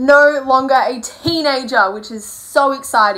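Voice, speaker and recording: Her voice is raised and projected, with a bright, sharp tone. The woman speaks at a very slow pace over a quiet background. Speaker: vlogger. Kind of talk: casual vlog chat. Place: home room. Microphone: phone near.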